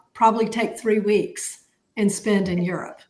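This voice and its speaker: A woman speaks in a flat monotone with a Southern US accent. Room echo can be heard around her voice. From US South, Atlanta. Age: 60s. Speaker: podcast co-host, accountant. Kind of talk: casual chat. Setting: live stream.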